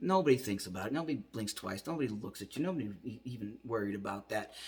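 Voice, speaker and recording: This man talks at a fairly quick pace with very wide pitch swings and a somewhat breathy quality. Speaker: vlogger sharing transition update. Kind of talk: video diary monologue. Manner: casual, hesitant with fillers.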